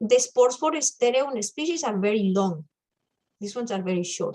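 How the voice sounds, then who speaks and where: A woman talks at a high pitch. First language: not English. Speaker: amateur mycologist, club member. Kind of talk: casual club presentation. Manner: hesitant, searching for words.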